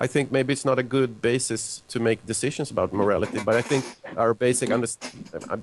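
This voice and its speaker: Flat and monotone, a man's intonation stays level as he talks at a fairly quick pace. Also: medium pitch for a man. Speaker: evolutionary biologist and author. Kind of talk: live call-in show interview.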